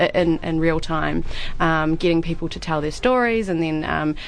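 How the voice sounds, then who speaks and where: With a New Zealand accent and a fairly low pitch, a woman speaks at a moderate pace over noticeable background noise. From New Zealand, Christchurch. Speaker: theatre director and actor. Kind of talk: radio interview.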